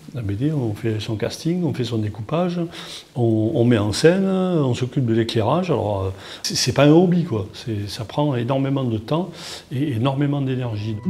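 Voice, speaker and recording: Over noticeable background noise, a man talks with a southern French accent. His intonation is lively. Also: medium pitch for a man, moderate pace. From southern France, Toulon. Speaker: comic book artist. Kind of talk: interview. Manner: halting, many repetitions and fillers.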